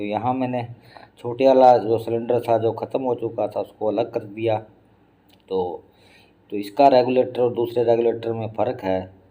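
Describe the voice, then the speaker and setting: With monotone, flat intonation, a man talks at a medium pitch. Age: 60s. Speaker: family vlogger. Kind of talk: casual vlog talk.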